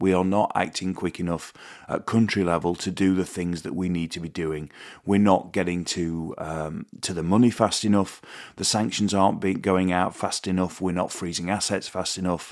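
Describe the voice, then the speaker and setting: On a very clean recording with a silent background, a man with a British accent speaks in a monotone, flat way at a very deep, low pitch. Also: moderate pace. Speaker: podcast host. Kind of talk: casual monologue. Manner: halting.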